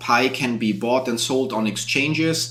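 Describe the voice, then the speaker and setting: There is audible room echo around this man's voice. He speaks at a medium pitch with a German accent. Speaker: YouTube content creator. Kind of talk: live stream Q&A. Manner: casual, with fillers.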